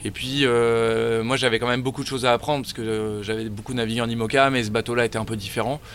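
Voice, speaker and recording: Speaking at a very fast pace with hardly any pauses, a man holds a monotone, flat intonation. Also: medium pitch for a man. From France, Paris region. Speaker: offshore sailor. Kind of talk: interview.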